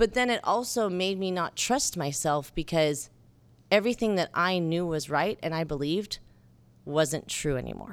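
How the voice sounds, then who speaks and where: A woman speaks in an ordinary speaking voice at a moderate pace with lively intonation. The recording is very clean, with a silent background. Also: fairly low pitch for a woman. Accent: American. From southern Utah (St. George). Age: 40s. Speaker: bar co-owner and filmmaker. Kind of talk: casual interview.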